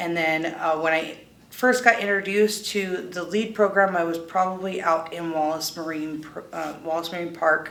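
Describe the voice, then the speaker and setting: A woman with an American accent and fairly low pitch speaks with fairly even intonation, amid noticeable background noise and audible room echo. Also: moderate pace, hardly any pauses. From US West Coast. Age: 30s. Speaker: person in recovery. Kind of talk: testimony.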